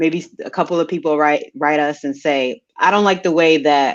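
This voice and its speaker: Someone with a Maryland accent speaks at a moderate pace with ordinary pitch variation against a quiet background. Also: woman. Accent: regional Maryland (PG County) speech. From Prince George's County, Maryland, US. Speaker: science podcast co-host. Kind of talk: casual panel conversation.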